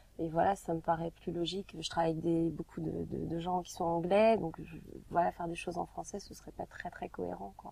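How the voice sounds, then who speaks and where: Talking at a fairly quick pace, a woman's voice swings widely in loudness. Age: young. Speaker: singer. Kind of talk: interview. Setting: recording studio. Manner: hesitant, many filler sounds.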